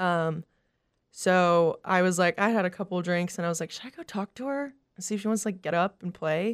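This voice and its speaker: A woman speaks at a medium pitch and a fairly quick pace, with ordinary pitch variation. The sound is dry and close with no echo, and the recording is very clean against a silent background. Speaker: country singer. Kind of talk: casual interview chat. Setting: studio.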